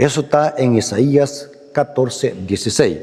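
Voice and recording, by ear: At a medium pitch with ordinary pitch variation, a man speaks fairly slowly in a dark, mellow tone.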